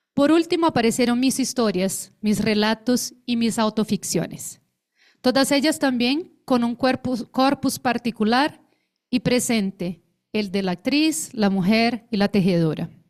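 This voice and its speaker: A woman's fairly high voice with a Brazilian accent, lively intonation and a fairly slow pace, at very even loudness, in a very clean recording with a silent background and a dry, close sound with no echo. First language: Portuguese (speaking Spanish). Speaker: actress and theatre researcher. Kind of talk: conference talk. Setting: conference panel with audience. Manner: formal.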